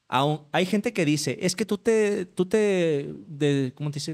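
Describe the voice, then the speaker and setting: The background stays quiet. Words come at a fairly slow pace. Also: man. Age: 30s. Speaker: atheist content creator, former evangelist. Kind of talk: casual interview. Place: home room. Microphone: studio mic.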